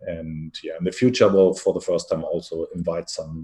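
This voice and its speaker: Talking at a fairly quick pace with a German accent, a man is heard over a quiet background. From Germany. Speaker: venture capital investor. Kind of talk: interview.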